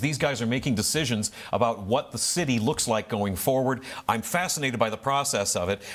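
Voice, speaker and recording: In a normal speaking voice, a man delivers his words at a fairly quick pace. His voice sits at a medium pitch and shows ordinary pitch variation. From northeast Ohio. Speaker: talk show host. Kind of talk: interview.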